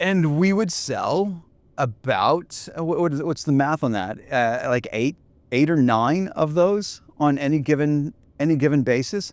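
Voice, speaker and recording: On a very clean recording with a silent background, a man with a normal speaking voice, fairly high-pitched, talks at a fairly slow pace with lively intonation. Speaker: podcast host and entrepreneur. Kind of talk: casual chat.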